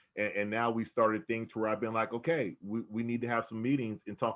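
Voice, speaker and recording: Here a man talks at a very fast pace with an animated tone. His pitch sits in the medium range. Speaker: theatre staff member and talk host, former radio host. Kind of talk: panel discussion on video call. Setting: video call. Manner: animated, repetitive.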